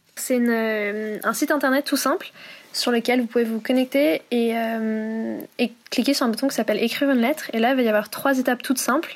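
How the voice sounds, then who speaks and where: High-pitched woman's voice with fairly even intonation. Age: 20s. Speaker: student volunteer, letter-writing project founder. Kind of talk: interview.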